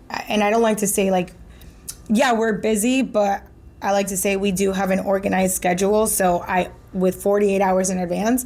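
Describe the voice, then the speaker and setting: The woman's medium-pitched delivery is monotone and flat, moving at a moderate pace. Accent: Spanish. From Miami, Florida, of Venezuelan-Colombian family. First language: Spanish. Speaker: marketing director. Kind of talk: casual interview chat.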